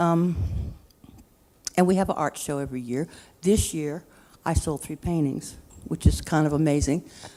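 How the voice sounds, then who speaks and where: In a very clean recording with a silent background, a woman with a very deep, low pitch and a dark, mellow tone speaks at a moderate pace with fairly even intonation and long, frequent pauses. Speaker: senior resident artist. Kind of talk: panel talk. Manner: halting.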